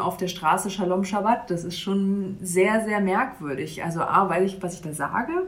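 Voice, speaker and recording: With audible room echo around her, a woman speaks at medium pitch and a moderate pace with fairly even intonation. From Mecklenburg, northeastern Germany (Bad Doberan). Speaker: church youth worker. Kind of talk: interview. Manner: hesitant, many fillers.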